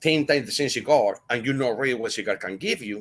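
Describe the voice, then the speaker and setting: On a very clean recording with a silent background, a man with a Spanish accent speaks at a moderate pace with ordinary pitch variation. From Spain. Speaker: cigar blender. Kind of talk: podcast interview.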